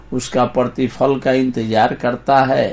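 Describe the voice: A man speaks at a medium pitch with a slightly mellow tone.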